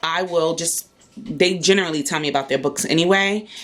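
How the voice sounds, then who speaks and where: A woman talks at a moderate pace with a fairly low pitch. Music plays in the background. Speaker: homeschooling mom vlogger. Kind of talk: casual vlog.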